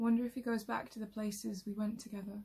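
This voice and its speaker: Woman's voice, dark and mellow in tone, somewhat breathy, with monotone, flat intonation. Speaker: actor performing a monologue. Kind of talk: scripted monologue, reflective and wistful. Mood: sad, wistful, tearful. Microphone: phone near.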